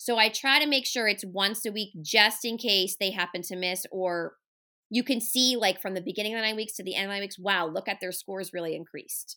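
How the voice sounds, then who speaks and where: On a very clean recording with a silent background, a woman speaks loud and fairly quick in an animated, bright, sharp tone. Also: medium pitch for a woman, ordinary pitch variation. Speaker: special education resource teacher. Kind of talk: casual interview. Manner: loud, animated.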